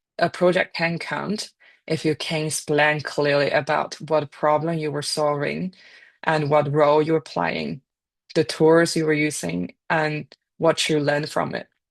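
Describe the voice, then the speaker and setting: In a Chinese accent, a woman speaks at a fairly slow pace with a very deep, low pitch and fairly even intonation, the sound dry and close with no echo over a quiet background. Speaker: data and AI scientist, speaker. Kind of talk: career talk presentation.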